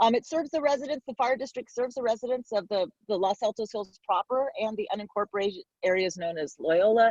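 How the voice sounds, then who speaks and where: A woman with a fairly high pitch speaks at a fairly quick pace, her pitch swinging very widely, in a dry, close sound with no echo. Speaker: fire service educator. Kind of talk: presentation. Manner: fast.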